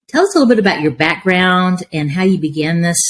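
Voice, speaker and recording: Somewhat breathy, the speaker talks at a fairly quick pace. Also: woman. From Appalachia. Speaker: podcast host, education executive, former superintendent. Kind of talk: podcast interview.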